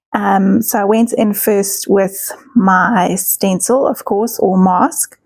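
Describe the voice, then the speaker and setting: Somewhat breathy and very slow, a woman speaks at medium pitch with fairly even intonation, the sound dry and close with no echo. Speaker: art journaling youtuber. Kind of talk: tutorial.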